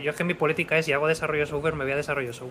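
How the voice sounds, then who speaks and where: Over noticeable background noise, a man is speaking. His pitch is fairly high and his intonation fairly even. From Spain, Madrid. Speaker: software developer and content creator. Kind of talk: casual chat.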